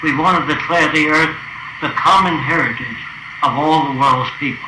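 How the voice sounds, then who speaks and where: Over noticeable background noise, a man talks at a moderate pace in a fairly high pitch with fairly even intonation. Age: 80s+. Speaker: futurist. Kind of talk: casual talk to visitors about his ideas.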